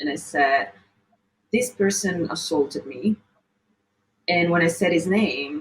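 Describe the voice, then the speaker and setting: A woman with an Italian accent speaks at a very slow pace, her fairly low voice showing vocal fry. Her pitch swings very widely. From Italy. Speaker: model and activist. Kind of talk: interview.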